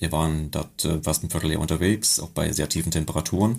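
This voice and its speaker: A very clean recording with a silent background: one man, a moderate pace, ordinary pitch variation. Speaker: mountain guide. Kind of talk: interview.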